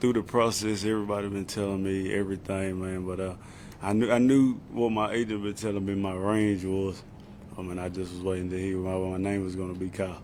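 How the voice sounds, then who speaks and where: In an American accent, a man with a fairly low pitch speaks fairly quickly in a monotone, flat delivery, with audible room echo. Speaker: football player. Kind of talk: press conference. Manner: casual, repetitive filler words.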